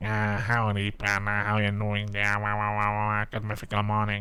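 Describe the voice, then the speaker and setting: Putting on a character voice, a man talks at a moderate pace in a fairly low, flat, monotone pitch. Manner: friendly, exaggerated drawl.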